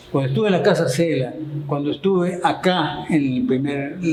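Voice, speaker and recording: A man's fairly high voice at a moderate pace, ordinary pitch variation, noticeable background noise and audible room echo. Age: 70s. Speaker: local historian and chronicler. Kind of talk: interview.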